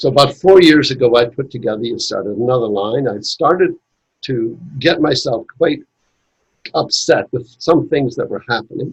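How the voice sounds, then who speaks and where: Somewhat breathy and fairly high in pitch, a man speaks at a moderate pace. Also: ordinary pitch variation. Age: 80s+. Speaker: Masonic educator and author. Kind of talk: casual chat.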